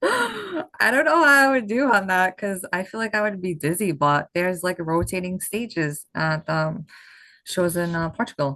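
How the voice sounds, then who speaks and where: With lively intonation, a woman at medium pitch talks at a moderate pace. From Massachusetts, near Boston, Portuguese background. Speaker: bodybuilding competitor. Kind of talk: podcast interview.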